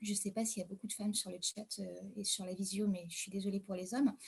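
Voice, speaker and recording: A woman speaks in a somewhat breathy voice. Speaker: caregiver. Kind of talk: online panel debate. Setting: video call. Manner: hesitant.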